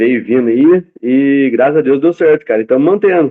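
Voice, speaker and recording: A man with a plain, everyday voice talks at a fairly quick pace. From interior of São Paulo state, Brazil. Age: 20s. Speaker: concrete block factory owner. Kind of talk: interview. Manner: casual, rambling storytelling.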